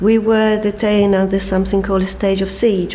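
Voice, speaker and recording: Noticeable background noise behind a woman's speech. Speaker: former political prisoner, refugee. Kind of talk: testimony.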